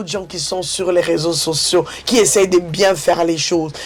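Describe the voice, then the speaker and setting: A woman speaks with music in the background. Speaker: YouTube commentator. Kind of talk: online video commentary. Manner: halting, repeats words.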